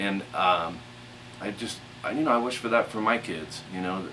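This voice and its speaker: Mumbling at a fairly low pitch, a man is heard through noticeable background noise. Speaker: guitar instructor. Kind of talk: casual talk to camera before a guitar lesson. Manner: mumbling, halting with fillers.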